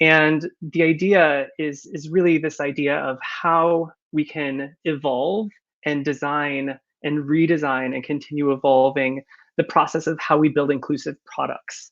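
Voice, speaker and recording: Monotone, flat intonation from a man with a fairly high pitch and a Californian accent. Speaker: company founder and conference speaker. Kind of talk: conference presentation. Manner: many filler words (uh, um).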